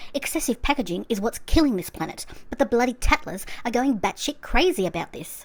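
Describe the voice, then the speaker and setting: A woman with an Australian accent and lively intonation. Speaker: YouTube commentator. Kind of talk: commentary review monologue. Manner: fast, sped-up playback.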